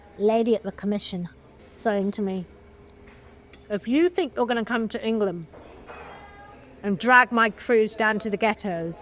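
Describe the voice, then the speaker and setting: A woman with a British accent speaks at a moderate pace and a fairly high pitch. Her pitch varies in an ordinary way, broken by long, frequent pauses. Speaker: film producer. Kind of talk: interview answer.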